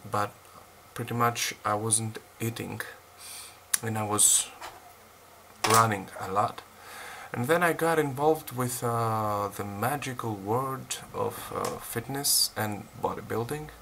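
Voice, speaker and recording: In a Greek accent, a man talks very slowly at a medium pitch. He leaves long, frequent pauses and uses ordinary pitch variation. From Greece. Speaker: fitness vlogger. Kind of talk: casual vlog unboxing. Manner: halting, many fillers.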